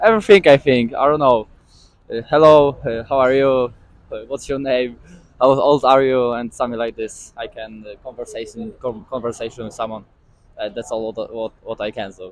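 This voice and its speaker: At a moderate pace and medium pitch, a man with a Polish accent speaks with ordinary pitch variation and big swings in loudness. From Poland. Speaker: street interviewee. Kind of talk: street interview. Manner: halting.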